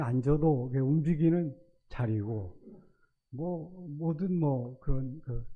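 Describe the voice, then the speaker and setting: Very slow male speech, its pitch varying in an ordinary way. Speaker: retired school principal, church elder. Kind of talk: testimony. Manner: halting.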